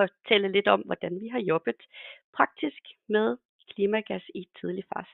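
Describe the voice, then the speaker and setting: A woman's medium-pitched voice with lively intonation, big swings in loudness, a fairly slow pace and long, frequent pauses. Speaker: consulting engineer. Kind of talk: webinar presentation. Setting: webinar. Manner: hesitant, many fillers.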